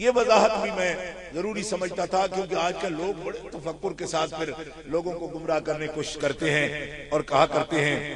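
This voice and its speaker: At a moderate pace and with ordinary pitch variation, the speaker is heard over noticeable background noise. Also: man, high pitch for a man. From Pakistan, Punjab (Mandi Bahauddin, Gujrat area). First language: Punjabi (speaking Hindi). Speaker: Islamic scholar. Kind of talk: religious speech. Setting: conference with audience.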